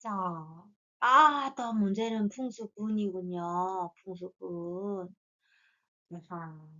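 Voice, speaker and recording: Long, frequent pauses break up this woman's speech. She talks at a very slow pace with a medium pitch. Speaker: fortune teller. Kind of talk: lecture.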